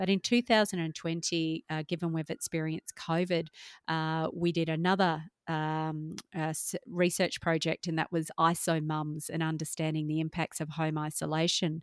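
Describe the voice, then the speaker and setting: A woman with an Australian accent, fairly low in pitch, flat and monotone at a moderate pace, in a very clean, dry, close recording with no echo and a silent background. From Perth, Australia. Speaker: marketing business owner and speaker. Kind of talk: interview.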